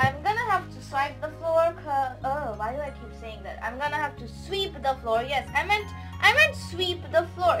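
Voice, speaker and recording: A woman's voice at a moderate pace with big swings in loudness, over clear music in the background. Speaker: spiritual hobby vlogger. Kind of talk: casual unboxing chat. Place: home room. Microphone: phone near.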